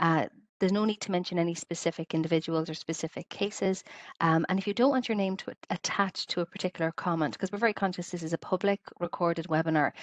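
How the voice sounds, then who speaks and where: A woman talks at a very fast pace in a fairly low pitch with ordinary pitch variation. The sound is dry with no echo, and the background is quiet. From Ireland, Clonmel, County Tipperary; Ireland. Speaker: webinar host, health service quality and safety staff; webinar host. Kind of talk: online webinar facilitation. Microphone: headset.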